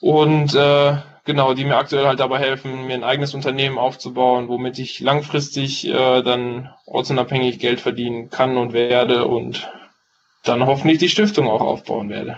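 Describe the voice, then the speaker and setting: A man's voice, medium in pitch, moves with fairly even intonation. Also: moderate pace. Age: 20s. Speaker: paramedic trainee and entrepreneur. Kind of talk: interview. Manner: hesitant, many fillers.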